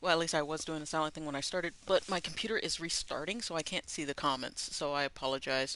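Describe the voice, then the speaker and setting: Quiet speech in an American accent comes at a very fast pace with hardly any pauses. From US Mid-Atlantic (DC/Maryland area). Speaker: video game streamer. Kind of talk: live gameplay commentary.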